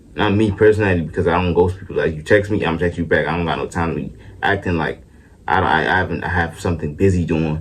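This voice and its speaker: Very fast and somewhat breathy, a man talks at a very deep, low pitch. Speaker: vlogger. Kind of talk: casual rant to camera. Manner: halting, self-described stuttering; animated.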